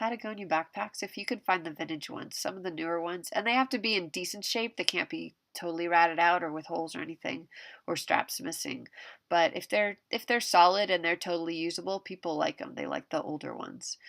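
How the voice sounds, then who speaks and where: A woman speaks very fast with vocal fry, a fairly low pitch and ordinary pitch variation. The sound is dry and close with no echo, in a very clean recording with a silent background. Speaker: part-time eBay reseller. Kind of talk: casual talk to camera. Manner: rambling, conversational.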